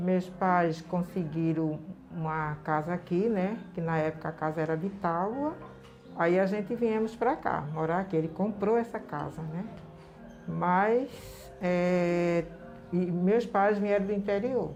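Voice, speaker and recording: Over music in the background, a woman with a fairly low pitch and ordinary pitch variation speaks at a very slow pace. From Recife, Brazil. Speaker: community leader. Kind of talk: interview. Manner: halting.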